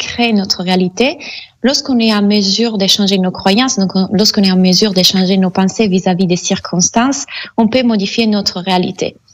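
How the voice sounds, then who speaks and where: Somewhat breathy, a woman with an Italian accent speaks at a medium pitch and moderate pace with fairly even intonation. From Italy. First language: Italian (speaking French). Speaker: mindset coach and hypnotherapist. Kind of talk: radio interview. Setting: Skype call.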